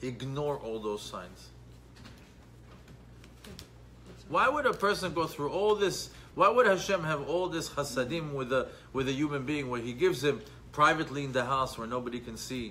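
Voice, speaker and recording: A man talks at a moderate pace, with long, frequent pauses. Light background noise can be heard. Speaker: Torah class teacher. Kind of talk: lecture. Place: church. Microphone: phone near.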